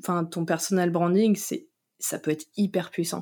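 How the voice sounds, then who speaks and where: A woman speaks at a fairly low pitch in a very clean recording with a silent background. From France, Vendée coast (Noirmoutier). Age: 20s. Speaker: content marketing manager. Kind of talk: casual interview chat. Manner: hesitant, many fillers and repetitions.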